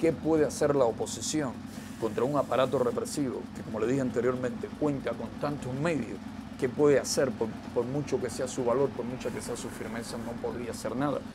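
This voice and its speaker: Over noticeable background noise, a man talks at a fairly quick pace in a medium pitch with ordinary pitch variation. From eastern Cuba. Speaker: political dissident. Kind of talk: interview testimony. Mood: earnest, firm. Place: home room.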